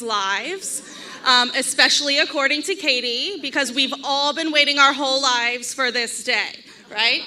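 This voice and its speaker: A woman with a high pitch uses a raised, projected voice at a moderate pace. Her intonation is fairly even, with noticeable background noise. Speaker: bride's sister giving a toast. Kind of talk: wedding toast speech. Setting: wedding reception with audience, microphone. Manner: loud.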